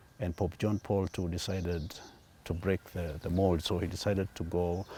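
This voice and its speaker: Very deep and low in pitch, a man speaks with a dark, mellow tone. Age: 60s. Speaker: airline pilot. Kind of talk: interview. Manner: halting.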